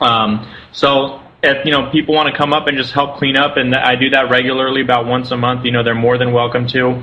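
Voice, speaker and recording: Over noticeable background noise and audible room echo, a man talks with hardly any pauses at a medium pitch, his intonation monotone and flat and his loudness very even. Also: fairly quick pace. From Southern California. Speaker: spiritual center founder. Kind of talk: interview.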